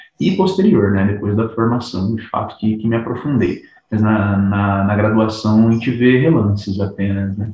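An unremarkable speaking voice moves at a moderate pace with hardly any pauses and fairly even intonation. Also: man, fairly low pitch for a man. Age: 30s. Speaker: psychologist. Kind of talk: casual chat.

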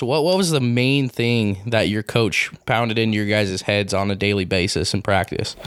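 A man with an American accent speaks at a moderate pace, with ordinary pitch variation. Noticeable background noise sits behind him. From Utah. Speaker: sports podcast host. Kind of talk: casual interview.

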